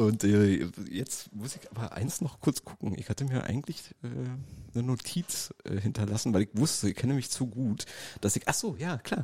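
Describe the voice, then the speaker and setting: Lively in intonation, a man speaks at a moderate pace in a medium-pitched, somewhat breathy voice with a dark, mellow tone. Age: 40s. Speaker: DJ and podcast co-host. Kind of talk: casual chat. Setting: gallery space used as studio.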